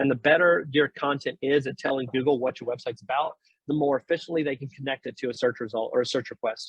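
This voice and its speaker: Speaking very fast, a man uses a fairly high pitch. His intonation stays fairly even. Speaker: startup founder presenting a webinar. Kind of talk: webinar presentation.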